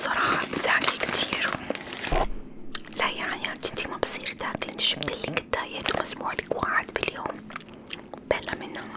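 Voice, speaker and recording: A whisper at a moderate pace, broken by long, frequent pauses, over noticeable background noise. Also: woman. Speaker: ASMR creator. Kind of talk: ASMR roleplay, casual talk to camera. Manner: soft, intimate, chatty.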